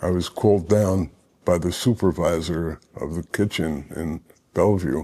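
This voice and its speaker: A man talks at a moderate pace with a dark, mellow tone. His pitch is very deep and low, with ordinary pitch variation. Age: 70s. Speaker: former inmate, recovering addict. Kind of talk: interview testimony. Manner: halting, many fillers.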